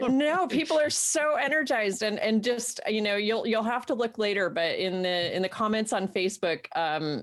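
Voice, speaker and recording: Her pitch is fairly high for a woman and swings very widely while her loudness stays very even. Noticeable background noise is present. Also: moderate pace. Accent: American. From Central New York. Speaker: co-host reading viewer comments. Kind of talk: live-streamed casual chat show. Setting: live stream. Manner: animated.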